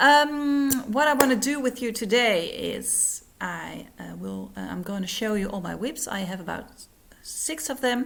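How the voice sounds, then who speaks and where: With a non-native accent and a fairly high pitch, a woman speaks at a fairly slow pace with lively intonation and big swings in loudness, over light background noise. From Netherlands. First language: Dutch. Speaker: cross-stitch vlogger. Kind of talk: casual vlog. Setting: at home, living room. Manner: halting, many fillers. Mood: friendly, cheerful. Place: home room. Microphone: phone near.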